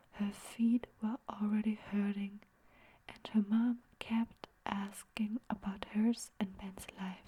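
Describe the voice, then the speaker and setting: Soft-spoken and whispering, the speaker goes at a very slow pace. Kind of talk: story narration. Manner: soft-spoken, whispering.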